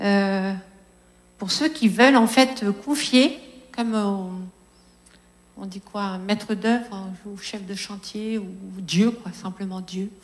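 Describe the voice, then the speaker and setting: A somewhat breathy woman's voice at medium pitch and a very slow pace, with long, frequent pauses. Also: big swings in loudness. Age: 50s. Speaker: preacher. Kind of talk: sermon.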